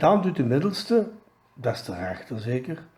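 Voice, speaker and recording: A man's very slow speech in a Belgian Limburg accent, dark and mellow in tone with vocal fry and very wide pitch swings. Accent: Pelt dialect, Limburg Flemish. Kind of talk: joke told in dialect.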